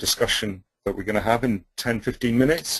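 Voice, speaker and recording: A man with a British accent and ordinary pitch variation. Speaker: webinar presenter on policy toolkit. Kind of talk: webinar presentation. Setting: webinar. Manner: fast.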